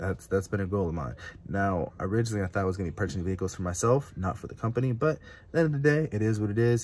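A man with a fairly low pitch talks at a very fast pace, his somewhat breathy voice full of lively intonation. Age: 20s. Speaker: car YouTuber, small business starter; car rental entrepreneur vlogger. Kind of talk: casual vlog monologue. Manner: casual, filler-heavy. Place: car. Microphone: phone near.

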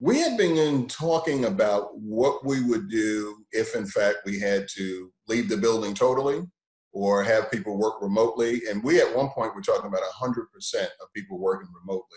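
A man with lively intonation, audible room echo and a quiet background. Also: moderate pace. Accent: American. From Brooklyn, New York; New York. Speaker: TV station general manager. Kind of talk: panel discussion. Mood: calm, mildly optimistic. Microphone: video call.

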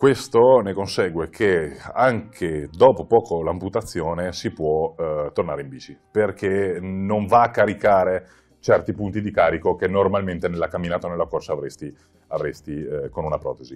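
A man's fairly low voice at a moderate pace, with ordinary pitch variation and big swings in loudness. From Verona, northern Italy; northern Italy. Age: 30s. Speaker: cycling traveller and amputee charity founder; interview guest. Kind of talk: interview. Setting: in person beside host. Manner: halting, many fillers. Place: studio. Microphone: lapel.

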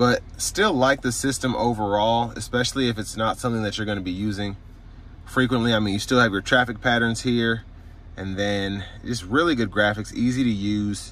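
Fairly even intonation marks this man's delivery at a fairly quick pace. The sound is dry with no echo. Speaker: car reviewer. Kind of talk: product review walkthrough. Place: car. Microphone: phone near.

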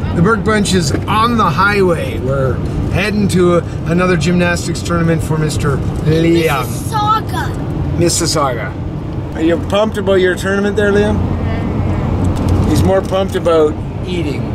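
Over loud background noise, the speech moves at a fairly slow pace. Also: man. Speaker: family vlogger dad. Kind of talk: casual vlog chat. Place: car. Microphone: phone near.

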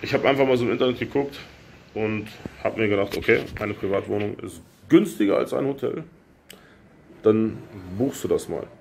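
Amid light background noise, a man speaks at a fairly quick pace with long, frequent pauses and ordinary pitch variation. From Lower Saxony, Germany. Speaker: YouTuber / expat vlogger; YouTuber, expat vlogger. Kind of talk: casual vlog Q&A. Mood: relaxed storytelling, some irritation. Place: home room. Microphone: phone near.

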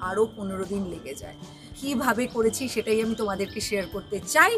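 A woman with ordinary pitch variation over clear music in the background. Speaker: vlogger. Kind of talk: casual vlog chat. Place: street.

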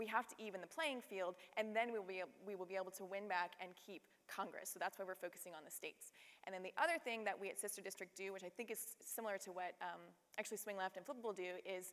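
Talking at a very fast pace, a woman uses ordinary pitch variation. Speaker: panelist. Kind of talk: panel discussion answer. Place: stage. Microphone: lapel.

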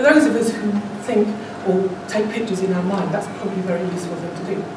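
A woman speaks at a very fast pace with ordinary pitch variation, her voice carrying audible room echo amid noticeable background noise. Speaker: speaker. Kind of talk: speech to a public speaking club. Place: meeting room. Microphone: camera far.

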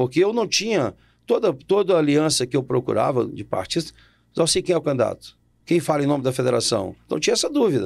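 A man's fairly high voice at a fairly quick pace, with very wide pitch swings, vocal fry and a quiet background. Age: 60s. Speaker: politician. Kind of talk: interview. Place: studio. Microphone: studio mic.

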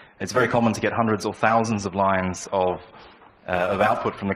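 A man with an Australian accent talks at a very fast pace, fairly low and in a flat monotone. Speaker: software developer; conference speaker. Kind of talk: conference talk. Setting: stage with audience. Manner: halting. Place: hall. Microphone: handheld.

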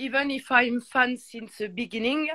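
French accent, ordinary pitch variation, and a dry, close sound with no echo. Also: woman. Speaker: music fan. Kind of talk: casual chat. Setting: video call. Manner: halting, searches for English words.

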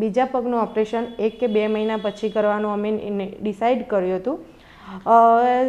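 A woman speaks at a fairly high pitch. Her intonation is flat and monotone. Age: 20s. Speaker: patient. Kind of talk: testimonial. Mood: grateful, calm. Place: home room. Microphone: lapel.

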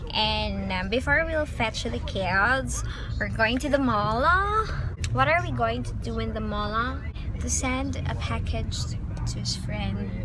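Amid noticeable background noise, a woman speaks at a very slow pace with long, frequent pauses in a dry sound with no echo. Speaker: mother vlogger. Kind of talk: casual vlog talk to camera. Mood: relaxed, chatty. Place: car. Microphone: phone near.

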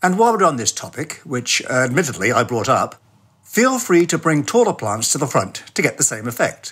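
A man speaks in a British accent at a moderate pace, with very wide pitch swings and vocal fry. The recording is very clean, with a silent background. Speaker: podcast segment contributor.

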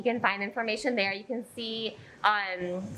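Light background noise sits behind a woman's bright, sharp tone. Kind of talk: interview answer. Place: gym.

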